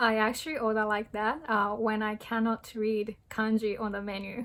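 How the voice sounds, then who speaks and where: In a Japanese accent, a woman with a fairly high pitch speaks at a fairly slow pace in a very clean recording with a silent background. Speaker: language tutorial youtuber. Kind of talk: tutorial. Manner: hesitant with frequent fillers.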